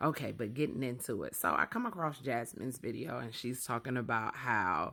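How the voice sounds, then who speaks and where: Quiet and fairly quick, a woman talks in a very deep, low voice with vocal fry, a bright, sharp tone and lively intonation. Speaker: social media creator. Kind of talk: casual vlog monologue. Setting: at home with sleeping babies. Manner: low, quiet voice. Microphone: very close to the mic.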